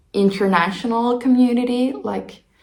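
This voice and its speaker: In a Finnish accent, a woman speaks with audible room echo. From Finland. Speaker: knitting vlogger. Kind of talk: casual vlog talk.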